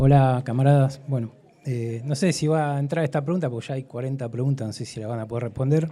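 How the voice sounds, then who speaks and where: A man talks at a fairly quick pace in a dark, mellow tone, his medium-pitched voice keeping a fairly even intonation. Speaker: audience member asking a question. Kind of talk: audience question at a debate. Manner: fast.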